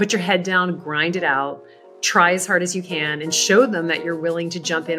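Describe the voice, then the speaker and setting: Over music in the background, a woman speaks in a fairly low pitch. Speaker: charity auctioneer, agency founder, keynote speaker, author. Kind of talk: podcast interview answer. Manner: conversational, reflective.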